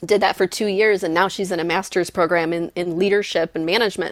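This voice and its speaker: A woman's plain, everyday voice at a medium pitch with an American accent and fairly even intonation. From Michigan. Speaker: psychology professor. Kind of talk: interview.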